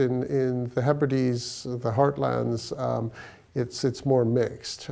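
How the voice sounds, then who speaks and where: This man speaks very slowly with a Canadian accent. His tone is dark and mellow. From Toronto, Canada. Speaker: law professor and lawyer. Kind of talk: interview answer. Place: office.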